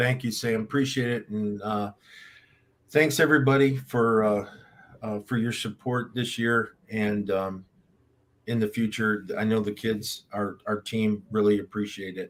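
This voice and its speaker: In an ordinary speaking voice, a man talks at a fairly slow pace, fairly low in pitch, with fairly even intonation. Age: 60s. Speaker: football head coach. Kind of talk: interview.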